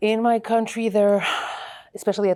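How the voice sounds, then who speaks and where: With a Portuguese accent and a dark, mellow tone, a woman talks at a fairly quick pace. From Portugal. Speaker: mycologist, evolutionary biology professor. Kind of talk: oral history interview. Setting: scientific conference.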